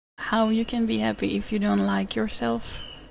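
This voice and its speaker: A woman speaks with an Israeli accent. The recording is very clean, with a silent background. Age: 20s. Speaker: gaming YouTuber. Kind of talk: casual chat. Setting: live stream.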